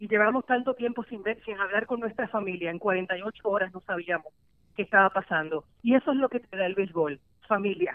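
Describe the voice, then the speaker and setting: A woman's plain, everyday voice at medium pitch, with big swings in loudness, a moderate pace and ordinary pitch variation. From Puerto Rico. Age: 40s. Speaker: sports journalist. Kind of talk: interview conversation.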